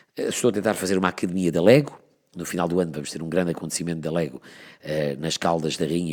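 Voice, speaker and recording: Against a silent background on a very clean recording, a man talks fairly quickly in a very deep, low voice. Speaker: radio presenter. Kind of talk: interview answer.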